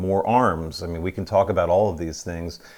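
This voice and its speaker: The recording of a man talking is very clean, its background silent. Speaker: podcast host. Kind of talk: interview.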